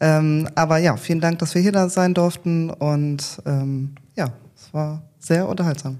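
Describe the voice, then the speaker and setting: Speaking at a fairly slow pace, a woman has a very deep, low pitch, a dark, mellow tone and fairly even intonation. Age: 30s. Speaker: training academy manager. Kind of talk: casual interview.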